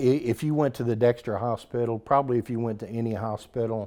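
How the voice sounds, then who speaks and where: A man's dark, mellow tone in an American accent, flat and monotone throughout. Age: 60s. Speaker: dental clinic ministry leader. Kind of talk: interview. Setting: on location at a church.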